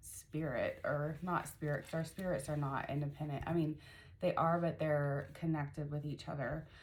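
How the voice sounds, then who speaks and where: A woman with a very deep, low voice speaks at a moderate pace, somewhat breathy, with fairly even intonation. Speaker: spiritual mentor and life coach. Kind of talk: casual vlog monologue. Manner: hesitant, many fillers.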